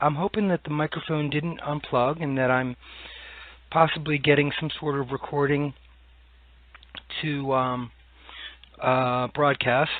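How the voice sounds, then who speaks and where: With long, frequent pauses, a man speaks at a fairly slow pace in a fairly high pitch and with fairly even intonation. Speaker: podcast host. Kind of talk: solo podcast monologue. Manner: hesitant, many fillers.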